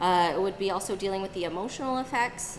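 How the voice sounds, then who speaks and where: A woman is speaking. Her voice carries audible room echo and noticeable background noise. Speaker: acupuncturist and herbalist presenting to a group. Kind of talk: live presentation. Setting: room with live audience.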